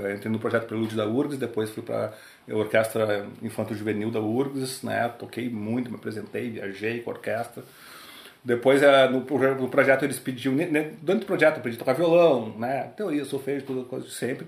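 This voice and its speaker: Someone talks at a fairly quick pace with ordinary pitch variation amid noticeable background noise. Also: man, medium pitch for a man. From Porto Alegre, southern Brazil. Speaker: tap dancer and musician. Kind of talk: casual interview. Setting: host's apartment.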